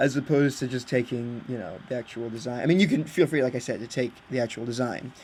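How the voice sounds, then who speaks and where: A man's medium-pitched voice with an American accent, very fast and with hardly any pauses, ordinary pitch variation. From Britain. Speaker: video game creator. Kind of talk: casual chat. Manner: halting, many fillers. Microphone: laptop built-in mic.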